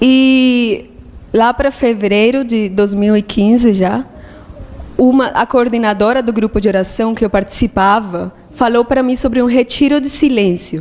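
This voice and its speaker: With a Spanish accent, a woman talks at a fairly high pitch with ordinary variation over noticeable background noise. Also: fairly slow pace. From Colombia. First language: Spanish (speaking Portuguese). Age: 20s. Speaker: monastic aspirant. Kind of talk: testimony.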